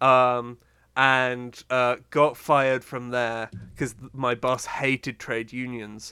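A man's bright, sharp voice at a very slow pace with monotone, flat intonation, in a very clean recording over a silent background. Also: medium pitch for a man. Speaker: podcast co-host. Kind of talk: casual chat.

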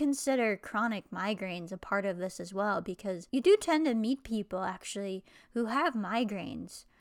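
A woman's unremarkable speaking voice, fairly high in pitch with lively intonation, on a very clean recording with a silent background. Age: 20s. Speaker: podcast host with chronic illness. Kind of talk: solo vlog monologue.

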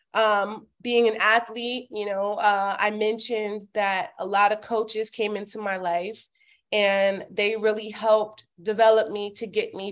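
Against a quiet background, a woman with an American accent speaks fairly slowly at a fairly high pitch in a plain, everyday voice. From Miami, Florida, US. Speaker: former athlete and community organizer. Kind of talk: interview conversation.

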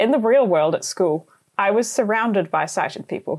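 At a moderate pace, a woman with a New Zealand accent talks with lively intonation. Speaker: journalist and podcast host. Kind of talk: scripted narration.

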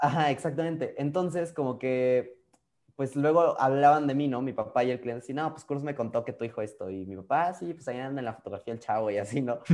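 In a Mexican accent, the voice moves at a very fast pace with ordinary pitch variation and big swings in loudness. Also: man, fairly high pitch for a man. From Mexico. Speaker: photographer. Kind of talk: interview conversation. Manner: animated.

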